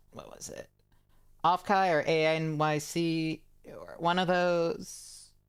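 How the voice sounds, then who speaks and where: A woman with an American accent over music in the background. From US Mid-Atlantic, Maryland/Baltimore area. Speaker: streamer (vtuber). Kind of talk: casual live-stream chat. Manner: halting, many fillers and restarts.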